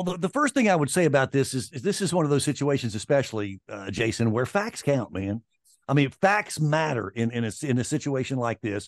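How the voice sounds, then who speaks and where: A man talks at a fairly quick pace and fairly high pitch, his pitch swinging very widely. The sound is dry and close with no echo, over a quiet background. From Mississippi, US South. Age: 60s. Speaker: sports radio host. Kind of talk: casual chat.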